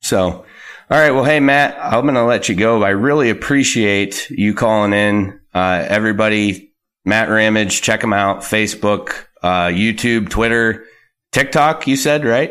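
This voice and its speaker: In a normal speaking voice, a man talks at a fairly slow pace and a fairly low pitch, with ordinary pitch variation and very even loudness. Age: 30s. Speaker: sports podcast host. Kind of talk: casual chat.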